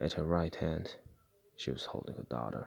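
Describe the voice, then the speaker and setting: Whispering at a moderate pace. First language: not English. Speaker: storyteller recounting a dream. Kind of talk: personal story narration.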